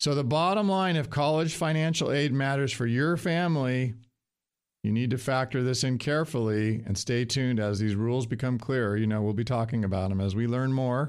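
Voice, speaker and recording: On a very clean recording with a silent background, a man speaks in a plain, everyday voice with very even loudness and ordinary pitch variation. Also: medium pitch for a man, fairly quick pace. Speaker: financial advisor radio host. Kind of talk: radio show monologue.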